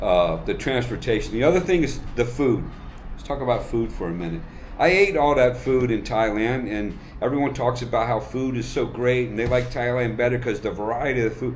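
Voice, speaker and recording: Over noticeable background noise and audible room echo, a man with a medium pitch speaks at a fairly quick pace. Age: 60s. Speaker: retired military officer, expat. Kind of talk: casual interview.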